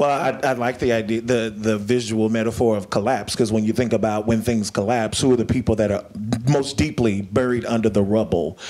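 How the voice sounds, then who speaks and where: A man speaks at a fairly quick pace. His loudness stays very even and his intonation fairly even. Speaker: panel discussant. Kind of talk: panel discussion. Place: hall. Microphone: handheld.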